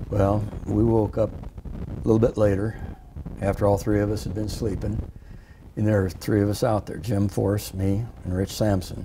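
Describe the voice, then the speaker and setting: A man at a fairly low pitch with a Midwestern US accent, monotone and flat in intonation, at a moderate pace amid noticeable background noise. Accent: US Midwest. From Iowa. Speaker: war veteran. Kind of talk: oral history interview. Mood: reflective, sometimes amused. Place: studio. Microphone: lapel.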